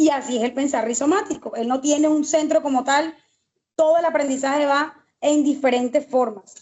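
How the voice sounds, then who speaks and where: High-pitched female speech, the intonation fairly even throughout. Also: moderate pace. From Colombian Caribbean coast, Santa Marta. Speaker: teacher, master's student. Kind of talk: online class discussion contribution. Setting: video call, camera off, power outage. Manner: hesitant, with many fillers.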